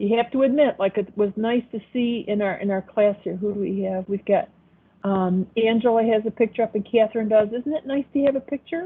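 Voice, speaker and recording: This woman speaks with a Buffalo accent at a fairly quick pace. Her pitch is fairly high. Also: ordinary pitch variation. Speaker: accounting professor. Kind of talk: online class lecture. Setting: video call. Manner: casual, hesitant with fillers.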